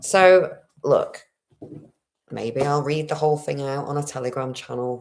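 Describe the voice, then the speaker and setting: A woman speaks at a moderate pace in a resonant, very deep, low voice. Her pitch varies an ordinary amount. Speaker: spiritual livestreamer. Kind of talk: livestream monologue. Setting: home livestream. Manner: throat clearing.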